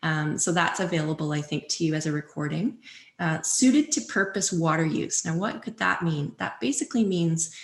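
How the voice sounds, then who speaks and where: Against a quiet background, a woman talks with a Canadian accent. Her voice is somewhat breathy and fairly low, with lively intonation. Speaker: watershed stewardship presenter. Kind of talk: public presentation. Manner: fast.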